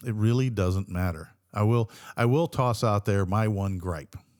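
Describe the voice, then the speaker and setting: A man's fairly low voice at a moderate pace, in a very clean recording with a silent background. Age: 60s. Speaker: podcast co-host. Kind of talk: casual chat. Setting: studio.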